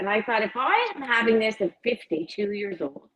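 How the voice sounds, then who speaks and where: A woman's fairly high-pitched voice. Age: 60s. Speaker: recovery advocate and clothing brand founder. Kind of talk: interview. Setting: live stream.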